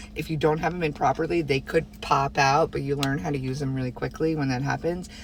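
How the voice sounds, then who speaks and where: Talking very fast, a woman with a very deep, low pitch uses fairly even intonation and vocal fry. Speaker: vlogger. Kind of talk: casual vlog.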